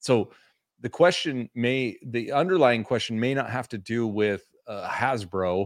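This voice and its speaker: This is a normal speaking voice from a man at a medium pitch. He goes at a fairly slow pace with ordinary pitch variation. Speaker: toy collecting podcast co-host. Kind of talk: casual chat. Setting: livestream.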